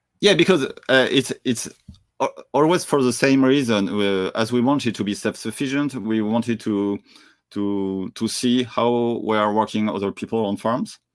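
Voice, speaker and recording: Over a very clean recording with a silent background, a man with a French accent talks at a moderate pace in a medium pitch with ordinary pitch variation. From France. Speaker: entrepreneur and traveler. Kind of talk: interview conversation. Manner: halting, many fillers.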